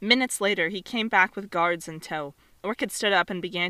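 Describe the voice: Ordinary pitch variation in plain reading aloud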